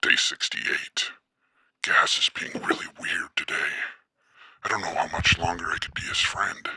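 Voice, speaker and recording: Whispering in a put-on character voice, a man leaves long, frequent pauses. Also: moderate pace. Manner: weary, recorded diary tone.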